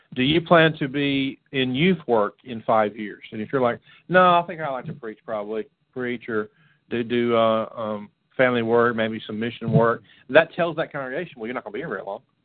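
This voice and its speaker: A man with an American accent speaks at a fairly quick pace in a normal speaking voice, his medium pitch moving with ordinary variation. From Florida. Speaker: radio show co-host, youth ministry. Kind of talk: casual chat.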